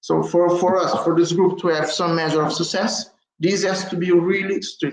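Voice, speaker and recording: In a Portuguese accent, a man talks at a moderate pace with a high pitch and monotone, flat intonation. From Africa, Portuguese-speaking. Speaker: community group moderator. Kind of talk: conference presentation. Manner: halting.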